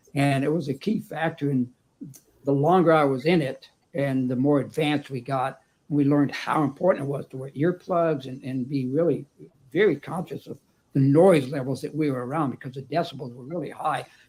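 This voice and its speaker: A man talks fairly quickly in a Texan accent at a fairly high pitch. His intonation is fairly even, but his loudness swings a lot. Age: 70s. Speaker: retired electrician and author. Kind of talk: panel discussion.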